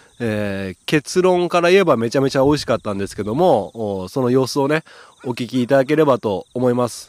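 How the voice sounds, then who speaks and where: A man's cheerful, animated tone at medium pitch, with lively intonation and a fairly quick pace. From Okayama, Japan. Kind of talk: casual solo talk and interview chat. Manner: cheerful, talkative, animated.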